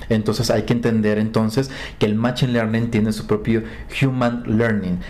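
A man with a Mexican accent, medium pitch and fairly even intonation, over noticeable background noise. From Mexico, Acapulco. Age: 30s. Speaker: digital communication specialist. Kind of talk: interview. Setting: in person in Bogotá.

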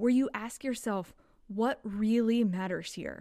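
A woman with an American accent and an unremarkable speaking voice, fairly high in pitch with ordinary pitch variation, at a fairly slow pace, on a very clean recording with a silent background. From Kentucky, US South. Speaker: podcast host. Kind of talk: solo reflective monologue.

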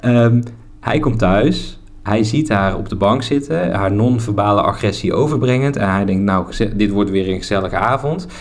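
A man's fairly low voice with ordinary pitch variation, at a moderate pace, with audible room echo and noticeable background noise. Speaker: podcast host. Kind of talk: casual chat. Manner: drops word endings.

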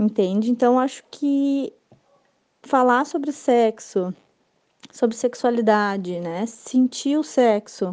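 A woman talks at a very slow pace, with long, frequent pauses. Her pitch is high, with ordinary variation. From Rio Grande do Sul, Brazil. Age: 30s. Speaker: listener giving testimony. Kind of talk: recorded testimony.

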